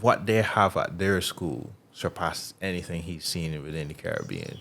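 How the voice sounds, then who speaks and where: A man with a Barbadian accent, very deep and low in pitch, with ordinary pitch variation and a moderate pace. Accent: Bajan English. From Barbados, Bridgetown. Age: 30s. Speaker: athlete. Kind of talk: casual chat.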